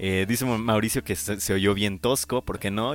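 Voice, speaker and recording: A man's fairly low voice delivers his words at a moderate pace. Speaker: metal radio show host. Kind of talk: casual chat. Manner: stumbling over words.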